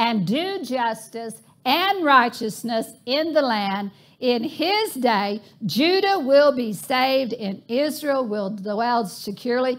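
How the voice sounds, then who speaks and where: A woman's high voice at a very slow pace. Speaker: preacher. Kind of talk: sermon. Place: church.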